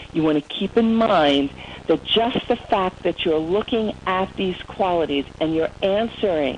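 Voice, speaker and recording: A woman at medium pitch talks fairly slowly with lively intonation. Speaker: motivational speaker. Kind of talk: webinar presentation. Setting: online webinar. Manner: animated.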